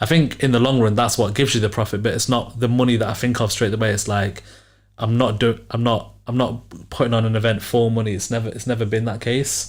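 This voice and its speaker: Somewhat breathy and medium in pitch, a man speaks at a very fast pace in a monotone, flat intonation. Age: 20s. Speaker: entrepreneur and podcast host. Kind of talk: casual chat.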